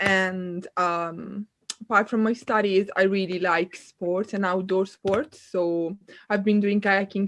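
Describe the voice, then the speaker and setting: A woman with an Italian accent speaks fairly slowly at a medium pitch with fairly even intonation. The sound is dry and close with no echo, over a quiet background. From northern Italy, near Milan. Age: 20s. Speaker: student and kayak instructor. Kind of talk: casual chat.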